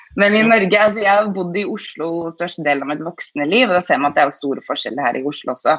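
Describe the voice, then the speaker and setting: Noticeable background noise sits under speech delivered very fast. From northern Norway, Bodø. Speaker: author and stage artist. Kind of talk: interview.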